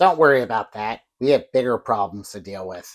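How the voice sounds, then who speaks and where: On a very clean recording with a silent background, a man does a put-on character voice at a medium pitch and a fairly quick pace. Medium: short film.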